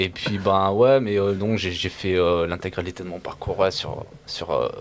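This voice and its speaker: Against noticeable background noise, a man with a very deep, low voice speaks at a fairly slow pace with fairly even intonation. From France, Firminy (Loire, Rhône-Alpes). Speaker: beatboxer. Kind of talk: interview. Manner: halting.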